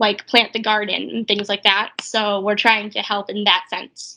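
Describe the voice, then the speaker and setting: Against a quiet background, a woman with a Boston accent speaks at a moderate pace in a fairly high pitch, her bright, sharp tone held flat and monotone. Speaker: physical therapist, startup founder. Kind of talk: interview.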